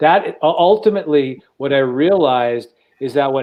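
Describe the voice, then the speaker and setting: A man speaks fairly slowly with an American accent, his pitch fairly high, in a plain, everyday voice. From New York. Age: 60s. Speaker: podcast co-host. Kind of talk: personal testimony in panel discussion.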